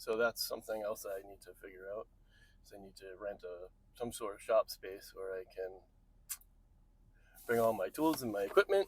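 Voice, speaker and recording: A mumbling man at a moderate pace, with big swings in loudness and long, frequent pauses. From New England. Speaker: vlogger. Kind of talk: casual vlog. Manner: rambling.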